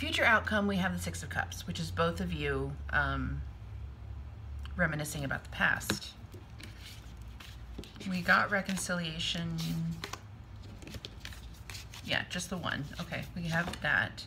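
A woman talks fairly slowly, pausing often and at length, while background noise is noticeable. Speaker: tarot reader. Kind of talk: tarot reading commentary. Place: home room. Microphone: phone near.

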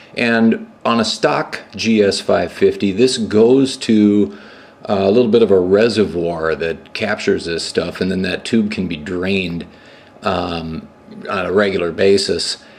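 A man speaks in an unremarkable speaking voice. His pace is fairly slow and his pitch variation ordinary. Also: fairly low pitch for a man. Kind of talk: tutorial. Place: garage.

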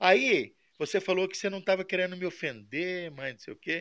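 A man's bright, sharp voice, fairly high in pitch, at a moderate pace. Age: 50s. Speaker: model engine mechanic and video maker. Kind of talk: aggrieved monologue to a viewer. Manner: halting, repetitive.

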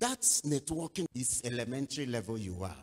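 At a moderate pace against a quiet background, a man speaks with vocal fry and very wide pitch swings. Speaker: pastor. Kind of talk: sermon. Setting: church. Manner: animated. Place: church. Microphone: handheld.

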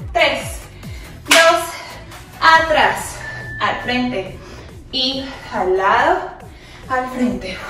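A woman uses a raised, projected voice at a very slow pace. Clear music plays in the background, and room echo is audible. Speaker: fitness instructor. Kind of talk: workout instruction cues. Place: home room.

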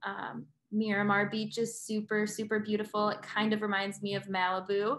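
Speaking at a fairly slow pace, a woman has a bright, sharp tone. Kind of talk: informal presentation to prospective students. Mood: friendly, upbeat. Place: home room. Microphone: webcam.

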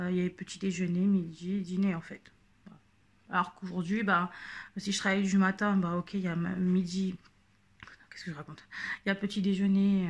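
Somewhat breathy, a woman speaks at a moderate pace in a medium pitch with monotone, flat intonation. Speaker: YouTube vlogger. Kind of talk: casual vlog monologue. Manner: halting, many fillers.

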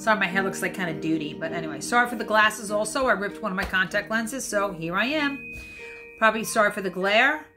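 Over music in the background, a woman talks at a very fast pace with ordinary pitch variation. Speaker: home cocktail host. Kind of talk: casual tutorial chat. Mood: cheerful, apologetic asides. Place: home room. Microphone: phone near.

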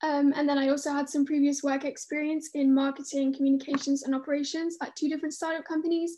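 A woman talks at a very fast pace with high pitch. Her tone is dark and mellow, and her intonation is monotone and flat. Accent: southern English. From London. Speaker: graduate student. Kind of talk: online webinar talk. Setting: video call.

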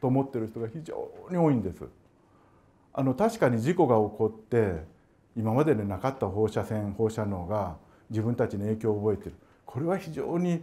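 Lively intonation runs through a man's dark, mellow voice. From Japan, Gifu Prefecture; Japan. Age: 60s. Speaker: emeritus professor, radiation biologist; emeritus professor. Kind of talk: public lecture. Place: meeting room.

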